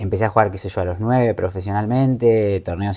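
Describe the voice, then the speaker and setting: An unremarkable speaking voice with fairly even intonation. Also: man. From Argentina, Moreno, Buenos Aires province; Buenos Aires province, Argentina. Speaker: travel content creator and life coach; travel content creator, life coach. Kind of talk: interview. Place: home room.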